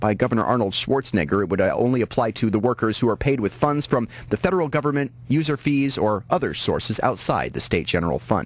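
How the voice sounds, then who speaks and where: Vocal fry from a man, with lively intonation at a fairly quick pace. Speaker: radio news anchor. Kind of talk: radio newscast delivery. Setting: radio station broadcast.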